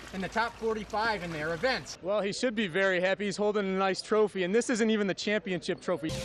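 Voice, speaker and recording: Noticeable background noise runs under speech at a fairly quick pace. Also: man. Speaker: sports anchor and reporter. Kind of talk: TV sports broadcast reporting. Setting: live on-location reporting and interviews.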